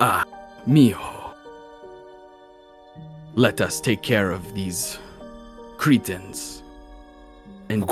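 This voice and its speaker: Against clear music in the background, a man uses a put-on character voice at a fairly low pitch and a very slow pace. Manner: fond, affectionate.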